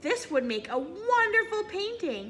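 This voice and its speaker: Over clear background noise, a woman puts on a squeaky character voice at an extremely high pitch. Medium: read story.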